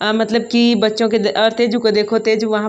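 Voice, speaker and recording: Fairly high speech from a woman, noticeable noise behind her. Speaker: vlogger and schoolteacher. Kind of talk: casual vlog. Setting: at home.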